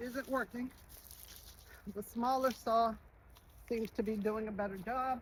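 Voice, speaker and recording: A woman speaks in a fairly high voice with ordinary pitch variation, leaving long, frequent pauses. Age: 50s. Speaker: vlogger. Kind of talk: casual talk to camera.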